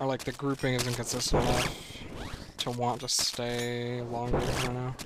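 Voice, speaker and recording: A man at medium pitch, talking at a fairly quick pace over noticeable background noise. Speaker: video game streamer. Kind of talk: casual live stream commentary while gaming. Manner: relaxed, casual with filler words.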